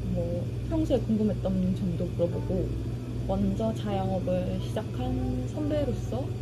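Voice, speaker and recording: A woman speaks with loud background noise behind her. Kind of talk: casual vlog chat. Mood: reflective, slightly worried. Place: cafe. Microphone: camera far.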